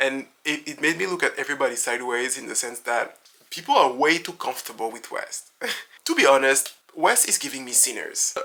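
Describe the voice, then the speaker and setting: Someone with a French accent speaks at a fairly quick pace. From France. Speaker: reality TV commentator. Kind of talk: casual talk to camera, reality TV commentary.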